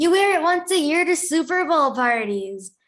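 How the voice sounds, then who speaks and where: A woman puts on a character voice with extremely high pitch and very wide pitch swings, holding very even loudness at a moderate pace. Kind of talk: motherly. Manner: persuasive, matter-of-fact.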